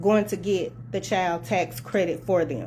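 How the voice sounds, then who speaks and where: A woman speaks at a fairly slow pace with vocal fry. Her tone is passionate. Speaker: tax preparer. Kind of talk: casual talk to camera. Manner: soft-spoken; passionate, can sound like hollering.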